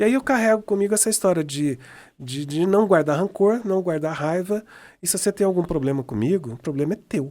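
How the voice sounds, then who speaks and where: Over a very clean recording with a silent background, a man talks at a fairly quick pace in a high pitch, his tone dark and mellow with lively intonation. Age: 60s. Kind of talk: interview conversation. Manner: halting with frequent repetitions.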